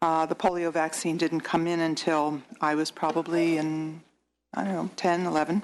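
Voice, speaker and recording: A woman's fairly low-pitched voice at a fairly slow pace over a quiet background. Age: 60s. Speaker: state senator. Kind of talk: committee hearing remarks. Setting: legislative hearing room. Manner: halting.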